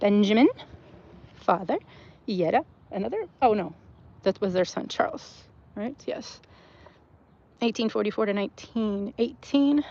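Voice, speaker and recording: With a Southern US accent, a woman speaks at a fairly high pitch and a moderate pace, with lively intonation and an animated tone. Long, frequent pauses break up her speech over noticeable background noise. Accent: Southern twang. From US South, Texas. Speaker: cemetery walk vlogger. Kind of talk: casual walking vlog narration. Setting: outdoors in a cemetery. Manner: chatty, animated.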